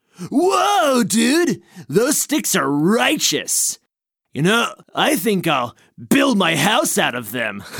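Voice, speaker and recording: The speaker puts on a character voice at a very slow pace. Its pitch is fairly high. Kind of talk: surfer slang comedy. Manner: laid-back, enthusiastic.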